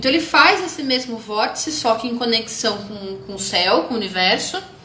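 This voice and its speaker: Noticeable background noise and audible room echo surround a woman's fairly high voice. She talks at a moderate pace with very wide pitch swings. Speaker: holistic therapist teaching about chakras. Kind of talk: live stream lecture. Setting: Instagram live video stream.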